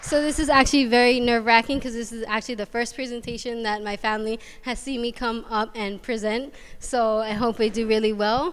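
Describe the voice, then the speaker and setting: This woman's fairly high voice keeps a fairly even intonation as she talks at a fairly quick pace. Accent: Hawaiian. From Hawaii, Waianae coast of Oahu. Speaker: college student. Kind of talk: student presentation. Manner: fast.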